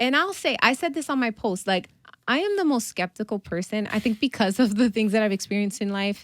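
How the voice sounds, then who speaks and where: In a very clean recording with a silent background and a dry, close sound with no echo, a woman with an American accent speaks at a fairly quick pace, her fairly high voice animated in tone and lively in intonation. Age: 30s. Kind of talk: casual interview chat.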